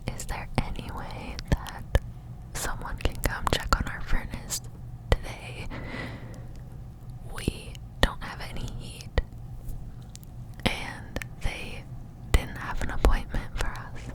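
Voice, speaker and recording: A woman's very slow whispering, with long, frequent pauses, big swings in loudness and noticeable background noise. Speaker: ASMR creator and parent. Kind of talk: up-close whispered ramble about her life. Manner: whispered, up close.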